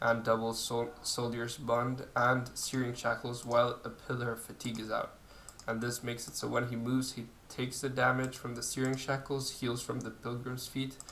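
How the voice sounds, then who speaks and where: With a non-native accent, a man talks in a monotone, flat intonation amid audible room echo. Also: medium pitch for a man, moderate pace. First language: not English. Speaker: video game youtuber. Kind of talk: gameplay tutorial. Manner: hesitant, many fillers.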